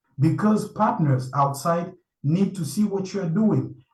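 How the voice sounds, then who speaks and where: Lively intonation marks this man's somewhat breathy voice. He speaks at a fairly slow pace with audible room echo. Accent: French. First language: French. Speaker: panel speaker. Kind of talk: online conference talk. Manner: halting.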